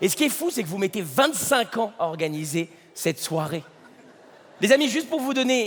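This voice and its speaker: A man's high-pitched voice at a moderate pace, with very wide swings in pitch. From France. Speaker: stand-up comedian. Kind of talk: stand-up.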